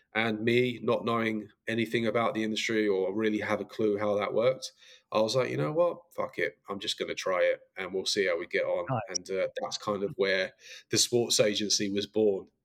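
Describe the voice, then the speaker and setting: A man speaks with an Essex accent. His pace is moderate. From Essex, England. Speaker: reality TV star and boxing manager. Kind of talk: interview.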